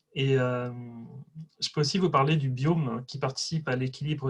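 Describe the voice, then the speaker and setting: A man speaks at a moderate pace and medium pitch, his intonation fairly even. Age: 30s. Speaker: testimonial giver. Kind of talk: testimony. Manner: hesitant, many fillers.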